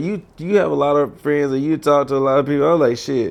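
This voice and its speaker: A man's very fast, fairly high-pitched voice with an American accent and ordinary pitch variation. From US South. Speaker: podcast host. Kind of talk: casual chat. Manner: slurred.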